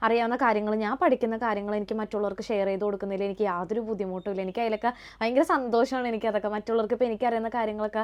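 A woman with a fairly high pitch talks using fairly even intonation. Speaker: vlogger. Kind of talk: casual vlog to camera. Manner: halting, occasional stumbles.

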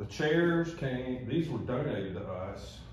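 A man's voice carries an audible room echo over light background noise. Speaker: tourism office staff guide. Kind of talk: guided tour explanation. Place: office. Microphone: camera far.

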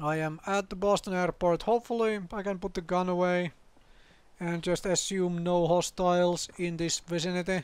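This man's voice sits high in pitch and stays flat and monotone, on a very clean recording with a silent background. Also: moderate pace. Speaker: gaming video creator. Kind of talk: let's play commentary. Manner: rambling, hesitant with many fillers.

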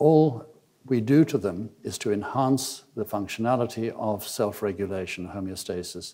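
The man's voice sits fairly low, with ordinary pitch variation. His tone is dark and mellow. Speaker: conference lecturer. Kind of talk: lecture. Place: hall. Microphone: podium.

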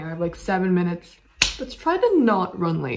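Noticeable noise fills the background. A woman's voice is heard over it. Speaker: vlogger. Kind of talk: casual vlog chat. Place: kitchen. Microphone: phone near.

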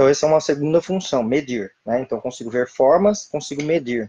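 A man at a fairly quick pace, with a dark, mellow tone and ordinary pitch variation. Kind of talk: lecture. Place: home room. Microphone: webcam.

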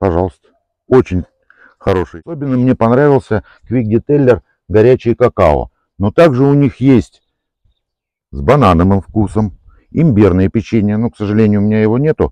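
A man with a fairly low pitch and a dark, mellow tone speaks with long, frequent pauses in a dry sound with no echo over a quiet background. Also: moderate pace. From Moscow Oblast, Russia. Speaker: car detailing enthusiast, product reviewer. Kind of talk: product demonstration tutorial. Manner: casual, conversational. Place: open country.

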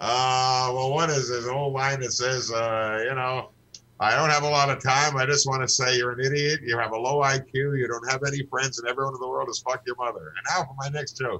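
A man at a medium pitch and a fairly quick pace. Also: fairly even intonation. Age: 60s. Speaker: comedian. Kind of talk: casual chat. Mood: joking, laughing. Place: home room. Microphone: video call.

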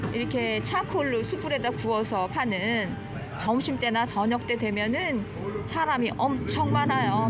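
A woman at a very slow pace, with clear music in the background. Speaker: vlogger tour guide. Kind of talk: casual walking tour commentary. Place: street. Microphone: phone near.

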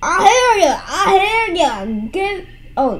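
A woman speaks in a put-on character voice, pitched extremely high. She talks at a fairly slow pace over light background noise.

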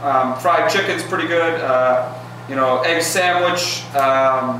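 A man is heard with strong room echo. Light background noise sits underneath. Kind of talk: acted comedic dialogue. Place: office. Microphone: camera far.

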